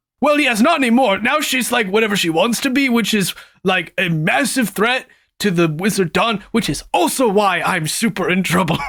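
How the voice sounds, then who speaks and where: A man puts on a character voice with a high pitch at a moderate pace. The recording is very clean, with a silent background. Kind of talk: comic table roleplay. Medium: actual play. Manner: rambling, hesitant, filler-heavy.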